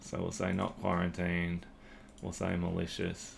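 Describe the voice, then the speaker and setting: A man talks with a very deep, low pitch. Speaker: aspiring SOC analyst, tutorial creator. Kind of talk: screen-recorded tutorial walkthrough. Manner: casual, hesitant with fillers.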